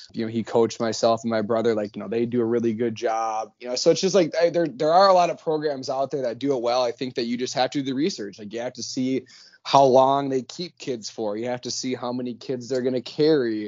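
A man with an Upper Midwest accent talks at a very fast pace at a medium pitch, with ordinary pitch variation and hardly any pauses. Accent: Upper Midwest American. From Minnesota. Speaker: hockey coach and social media creator. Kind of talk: casual chat.

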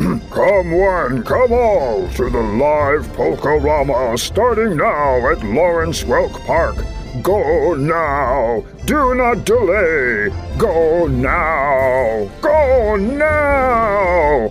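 Over clear music in the background, a man does a put-on character voice at a very slow pace. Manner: urgent, hyped, emphatic.

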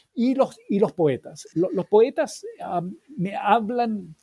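A man's dark, mellow tone, dry and close with no echo. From Chile. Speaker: historian and professor. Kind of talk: interview. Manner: halting, many fillers.

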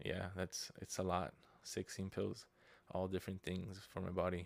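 Here a man talks with a very deep, low pitch. His intonation is monotone and flat. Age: 20s. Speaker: podcast host. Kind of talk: casual monologue, personal life update. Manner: casual, filler-heavy with frequent hesitations.

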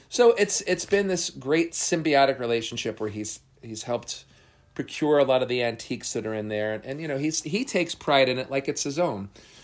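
A man with an American accent talks in an ordinary speaking voice, fairly high-pitched, with lively intonation. The recording is very clean, with a silent background. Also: fairly quick pace. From New Jersey. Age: 40s. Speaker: magician. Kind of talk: casual interview. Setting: seance room.

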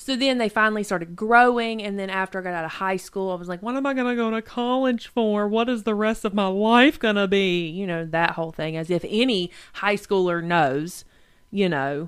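With a North Carolina accent, a woman talks at a fairly quick pace and a medium pitch. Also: ordinary pitch variation. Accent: US Southern (North Carolina). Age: 20s. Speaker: podcast co-host. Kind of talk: casual chat.

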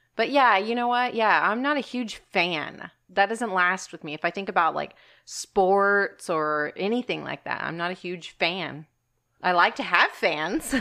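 In a quiet setting, a woman with a plain, everyday voice speaks fairly slowly at medium pitch with lively intonation. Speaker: podcast co-host.

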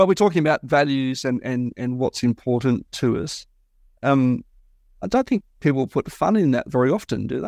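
A man with an ordinary speaking voice talks at a moderate pace, medium in pitch with lively intonation. The sound is dry and close with no echo, over a quiet background. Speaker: podcast host. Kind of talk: podcast interview.

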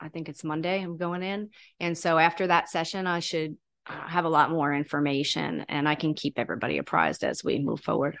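An ordinary speaking voice with an American accent moves at a fairly quick pace, with fairly even intonation and big swings in loudness. The background is quiet. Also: woman, fairly low pitch for a woman. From New York (Catskill, Long Island). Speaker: hyperbaric clinic operator, executive. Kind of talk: interview conversation.

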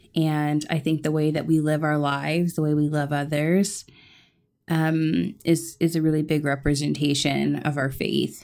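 The delivery is monotone and flat, with very even loudness throughout. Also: woman, very deep, low pitch for a woman, moderate pace. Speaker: podcast co-host. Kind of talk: casual chat.

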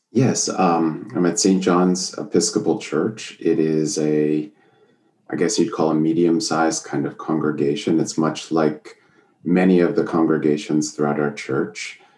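A man with an American accent speaks at a fairly slow pace in a very deep, low voice with a dark, mellow tone. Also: ordinary pitch variation. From northwestern Pennsylvania (Erie). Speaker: Episcopal priest and author. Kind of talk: interview.

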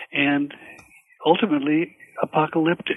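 Noticeable background noise sits behind this man. His pitch is fairly high and his pace fairly slow. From Minnesota, Swedish-American. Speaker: podcast guest, history professor.

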